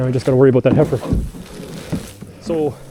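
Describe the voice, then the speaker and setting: A man speaks with a Canadian Prairie accent. There is noticeable background noise. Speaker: farmer. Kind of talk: tutorial. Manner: casual; soft-spoken.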